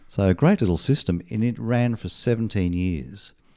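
This man talks with an Australian accent. His pace is fairly quick. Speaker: retired satellite telecommunications engineer. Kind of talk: radio interview. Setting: radio studio.

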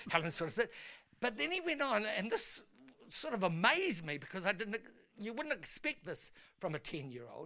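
A man's bright, sharp, raised and projected voice, high in pitch, with very wide pitch swings and long, frequent pauses. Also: moderate pace. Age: 70s. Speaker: pastor. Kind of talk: sermon. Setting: church. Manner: animated.

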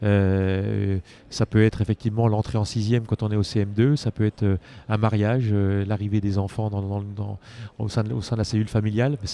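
A man's fairly low, dark, mellow voice at a moderate pace, monotone and flat, in a dry, close sound with no echo over a quiet background. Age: 50s. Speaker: coffee roaster and business owner. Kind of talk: interview. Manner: halting.

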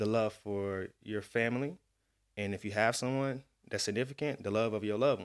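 A man talks at a fairly quick pace with an Atlanta accent. His pitch variation is ordinary, on a very clean recording with a silent background. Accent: Southern US, Atlanta. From Atlanta, Georgia. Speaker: music producer and podcast host. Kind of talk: casual chat.

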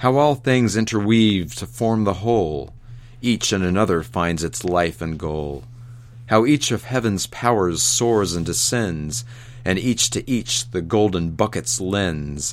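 Lively intonation marks this man's fairly low, fairly slow delivery in an ordinary speaking voice. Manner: rising ecstatic wonder, exclamatory and breathless; fearful, urgent pleading as the spirit appears.

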